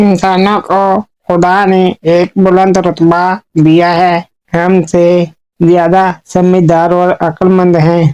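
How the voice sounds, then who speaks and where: A cartoonish character voice, female-sounding and medium in pitch, with monotone, flat intonation. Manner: calm, reasonable.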